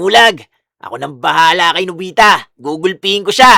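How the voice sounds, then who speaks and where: The speaker uses a put-on character voice. The pitch sits in the middle. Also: moderate pace. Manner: threatening, boastful.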